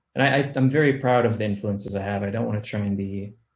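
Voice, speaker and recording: This somewhat breathy voice with an American accent moves at a very fast pace. Its intonation stays fairly even. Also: man. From Missouri, small town (US Midwest/South mix). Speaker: music producer and recording artist. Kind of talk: interview.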